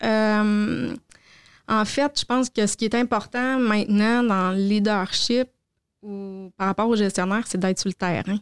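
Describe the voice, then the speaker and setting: A woman with a fairly high pitch, fairly even intonation and a fairly slow pace, an unremarkable speaking voice, dry, close sound with no echo, very clean recording and silent background. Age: 40s. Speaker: vocational training center director. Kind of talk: interview.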